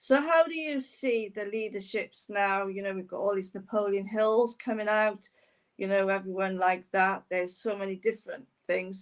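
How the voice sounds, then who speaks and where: A woman in an ordinary speaking voice, medium in pitch, at a moderate pace with ordinary pitch variation. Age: 60s. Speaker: podcast host. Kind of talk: interview.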